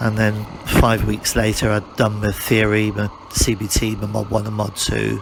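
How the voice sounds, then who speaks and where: There is noticeable background noise behind the speaker. He is a man with a British accent. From UK. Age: 60s. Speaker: motorcycle reviewer. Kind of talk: ride-along commentary. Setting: riding a motorcycle outdoors. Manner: casual, repetitive.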